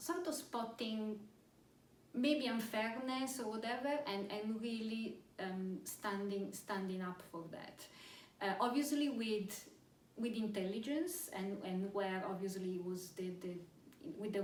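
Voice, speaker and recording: A woman speaks very slowly in a somewhat breathy voice with a non-native accent. Her pitch varies in an ordinary way, and the room echo is audible. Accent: non-British foreign. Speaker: pharmaceutical executive. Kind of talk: interview. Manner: hesitant, many fillers and repetitions.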